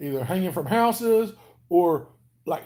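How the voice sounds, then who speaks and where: A man with a Southern US accent speaks at a fairly slow pace. His voice is high-pitched, with a dark, mellow tone. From Alabama, US South. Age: 40s. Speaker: weight-loss vlogger. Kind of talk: casual live stream chat. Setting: home live stream. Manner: casual, chatty.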